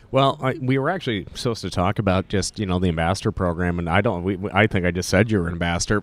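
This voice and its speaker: Speaking at a very fast pace with hardly any pauses, a man with an American accent uses a very deep, low pitch. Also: ordinary pitch variation. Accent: Montana, Canadian-tinged. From Montana. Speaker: podcast host. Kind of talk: casual interview. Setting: convention booth.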